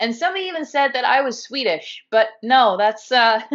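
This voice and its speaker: Speaking at a fairly quick pace, a woman with a fairly high pitch uses lively intonation and a Californian accent. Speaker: guest YouTuber discussing dissociative identity. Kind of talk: casual chat.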